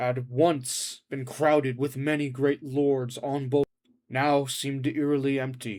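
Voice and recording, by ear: Natural-voiced reading aloud, the background quiet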